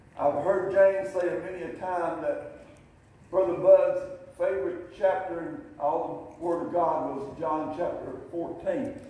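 In strong room echo, a man speaks at a fairly slow pace in a high voice with ordinary pitch variation. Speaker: pastor. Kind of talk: sermon. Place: church. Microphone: camera far.

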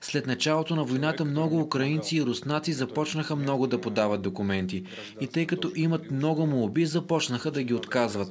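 With light background noise behind him, a man with a fairly high pitch talks at a moderate pace with lively intonation. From Russia. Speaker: ski instructor. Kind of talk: interview soundbite. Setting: on location. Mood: calm, slightly frustrated. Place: home room. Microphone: handheld.

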